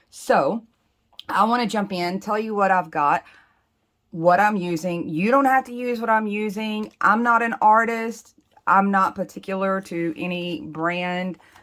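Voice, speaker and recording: A woman's medium-pitched voice with an American accent, fairly slow in pace, with ordinary pitch variation. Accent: Southern US accent, kept in check. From US South. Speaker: planner and doodle creator. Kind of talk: tutorial. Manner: casual, chatty.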